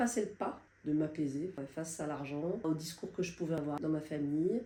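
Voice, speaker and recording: A woman talks at a moderate pace. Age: 60s. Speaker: client giving a testimonial. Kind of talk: testimony. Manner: hesitant, many fillers.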